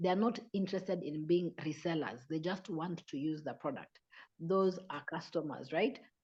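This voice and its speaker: A woman with an ordinary speaking voice talks at a moderate pace, her pitch fairly low. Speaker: business presenter. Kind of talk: online sales presentation.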